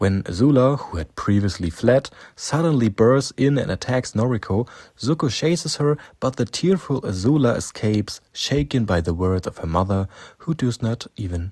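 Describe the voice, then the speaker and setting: Recorded very cleanly with a silent background, a man with a German accent speaks at a moderate pace and medium pitch, somewhat breathy, with lively intonation. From Germany. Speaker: fan video narrator. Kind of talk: scripted narration.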